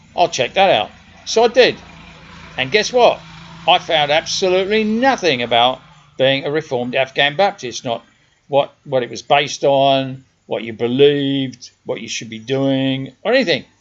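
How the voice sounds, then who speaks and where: Speaking in a South London accent, a man uses a fairly high pitch and lively intonation. His loudness swings widely at a moderate pace. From South London, England. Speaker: podcaster. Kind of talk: personal monologue. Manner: conversational.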